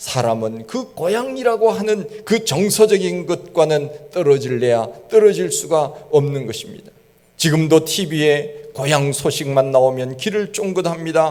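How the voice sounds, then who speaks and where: A man with a fairly high pitch speaks at a fairly slow pace with hardly any pauses and very wide pitch swings. Noticeable background noise and audible room echo are present. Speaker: pastor. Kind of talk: sermon.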